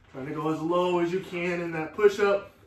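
Here a man talks at a moderate pace. Audible room echo surrounds his voice. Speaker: fitness instructor. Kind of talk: guided workout class with cues and countdowns. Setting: online live class, video. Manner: energetic, clipped, motivating; rhythmic, counting down out loud. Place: garage. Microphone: camera far.

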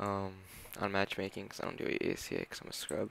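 The pace is fairly quick. A man speaks with a fairly low pitch. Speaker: gaming video creator. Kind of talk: casual talk to camera.

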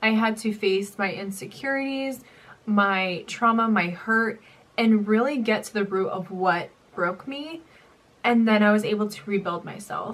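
The woman's voice is fairly high, with ordinary pitch variation. She speaks at a fairly slow pace, and her loudness swings a lot. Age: young. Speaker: YouTuber and nursing student; YouTuber. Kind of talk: story time vlog. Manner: casual. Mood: emotional, recounting painful memory. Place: home room.

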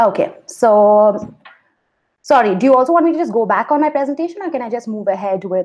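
Over a quiet background, a woman talks at a fairly quick pace in a fairly high voice with very wide pitch swings. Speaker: lawyer. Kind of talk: conference presentation. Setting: online video conference. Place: home room. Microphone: video call.

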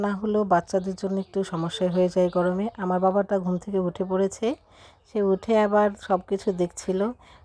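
A monotone, flat delivery from a woman at a medium pitch. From Bangladesh, rural village. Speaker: vlogger, mother. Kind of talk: travel vlog narration. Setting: on a bus.

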